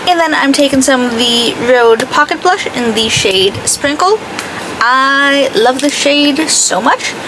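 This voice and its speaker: With an American accent, a woman speaks at a high pitch with lively intonation and very even loudness over noticeable background noise. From greater Boston area. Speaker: beauty vlogger. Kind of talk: makeup tutorial chat. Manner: casual, chatty.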